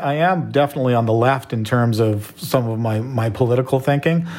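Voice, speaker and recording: Over noticeable background noise, a man speaks at a medium pitch and a moderate pace with lively intonation. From Canada. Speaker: entrepreneur and filmmaker. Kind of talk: interview conversation.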